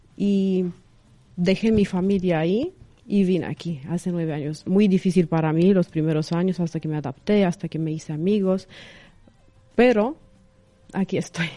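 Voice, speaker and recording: A woman's fairly low, dark, mellow voice in a Romanian accent, at a moderate pace with long, frequent pauses and ordinary pitch variation. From Romania, Craiova. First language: Romanian (speaking Spanish). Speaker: reporter and influencer. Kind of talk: radio interview. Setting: studio. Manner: halting, filler-laden.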